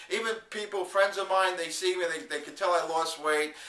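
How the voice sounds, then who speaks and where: Through noticeable background noise, a man with a high pitch speaks at a fairly quick pace. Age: 50s. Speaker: video blogger, network marketer. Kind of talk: video diary. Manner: casual, halting with fillers.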